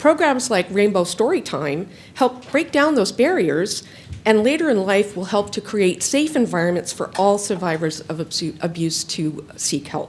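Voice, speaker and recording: A loud woman at medium pitch, very wide pitch swings, a moderate pace and noticeable background noise. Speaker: nonprofit donor engagement specialist, public commenter. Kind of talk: public comment at a county board meeting. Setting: county board meeting room.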